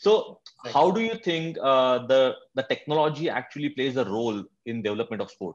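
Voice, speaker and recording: His pitch swinging very wide, a man talks fairly quickly in a quiet setting. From India. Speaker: sports podcast host. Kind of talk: interview. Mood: warm, friendly, smiling. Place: home room. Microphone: video call.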